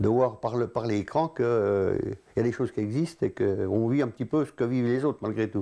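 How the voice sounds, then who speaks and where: Speaking at a fairly quick pace, a man of medium pitch has a dark, mellow tone, very even loudness and ordinary pitch variation. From eastern France, Doubs near Montbéliard. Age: 60s. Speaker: local resident interviewee. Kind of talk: interview testimony. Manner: halting, many hesitations.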